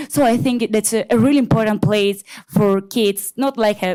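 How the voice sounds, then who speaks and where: The speaker is a woman with a fairly high voice. Her pitch varies in an ordinary way. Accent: Italian. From Italy. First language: Italian. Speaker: public commenter. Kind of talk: public comment at council meeting. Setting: public meeting. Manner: halting, with many hesitations.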